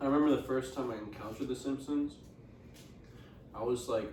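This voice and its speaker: Over noticeable background noise and audible room echo, a man speaks with a Spanish accent. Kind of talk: casual chat.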